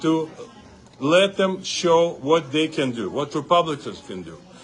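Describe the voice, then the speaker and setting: With music in the background, a man speaks at a moderate pace, his fairly high pitch marked by lively intonation. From Uzbekistan. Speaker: congressional candidate. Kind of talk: campaign interview speech. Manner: animated.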